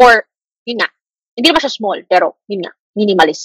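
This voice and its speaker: The woman's fairly high pitch and lively intonation come through at a moderate pace, with a dry, close sound and no echo. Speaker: teacher. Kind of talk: lecture. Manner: casual Taglish code-switching.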